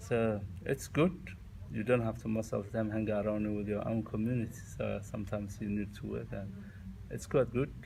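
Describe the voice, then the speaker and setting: A man with a Somali accent speaks in a fairly low pitch. His intonation stays fairly even at a moderate pace. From Somalia. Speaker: immigrant interviewee. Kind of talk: interview. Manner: halting.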